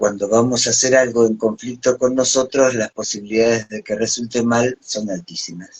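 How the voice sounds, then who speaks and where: With hardly any pauses, a man with a plain, everyday voice talks at a moderate pace and a medium pitch. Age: 60s. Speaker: psychologist and NLP trainer. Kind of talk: live stream interview.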